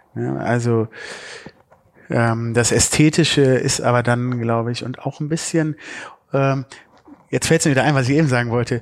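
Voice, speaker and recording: A man with a medium-pitched voice talks in a fairly even intonation, leaving long, frequent pauses. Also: moderate pace. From Düsseldorf, Germany. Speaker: podcast host. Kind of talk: interview.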